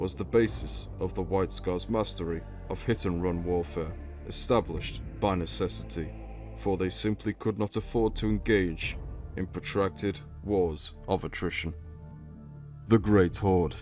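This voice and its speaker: A man's very deep, low voice with a British accent, at a fairly slow pace with very wide pitch swings, over music in the background. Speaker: lore video narrator. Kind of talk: educational lore narration.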